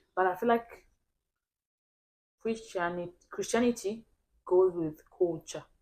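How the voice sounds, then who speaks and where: A woman speaks with an African accent at a medium pitch and a fairly slow pace. Her pitch varies in an ordinary way, and she takes long, frequent pauses. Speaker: podcast co-host. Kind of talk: casual chat. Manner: halting.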